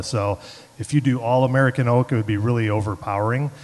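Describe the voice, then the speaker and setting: A man with a Chicago accent, very fast pace and fairly even intonation. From Chicago, South Side. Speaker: head brewer. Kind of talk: panel talk at tasting event. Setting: event room with live audience.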